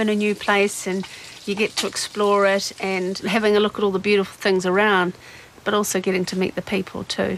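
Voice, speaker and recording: In a New Zealand accent, a woman speaks at a medium pitch and a fairly quick pace. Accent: non-Irish accent, New Zealand. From New Zealand, Dunedin. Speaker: occupational therapist and boat owner. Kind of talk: interview. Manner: casual, with frequent fillers.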